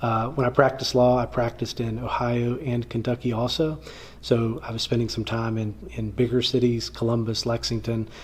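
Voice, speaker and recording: Noticeable background noise sits under fairly quick speech with monotone, flat intonation. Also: man, medium pitch for a man. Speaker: lawyer. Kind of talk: interview.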